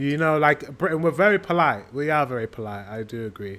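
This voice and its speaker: Speaking fairly quickly, a man uses lively intonation. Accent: northern English. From northern England. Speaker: reaction video creator. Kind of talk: casual reaction commentary. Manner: hesitant, filler-heavy.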